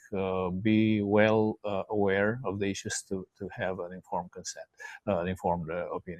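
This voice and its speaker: Fairly even intonation at a moderate pace. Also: man. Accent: Romanian. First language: Romanian. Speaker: podcast host. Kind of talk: casual discussion. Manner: halting, many fillers.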